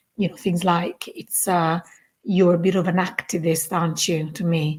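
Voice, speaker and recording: A woman with a Neapolitan accent speaks at a moderate pace in a somewhat breathy voice. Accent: Italian (Neapolitan) accent in English. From southern Italy, Naples. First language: Italian. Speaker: community founder. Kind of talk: podcast interview. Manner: animated.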